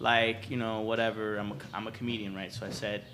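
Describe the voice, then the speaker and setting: A man talks at a fairly quick pace, with audible echo from the room. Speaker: comedian. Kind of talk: casual chat. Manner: animated.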